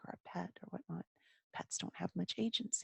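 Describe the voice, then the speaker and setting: Someone whispers with an American accent in a dry, close sound with no echo. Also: woman. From Texas. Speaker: German teacher. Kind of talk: lecture. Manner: whispering. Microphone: microphone very close to mouth.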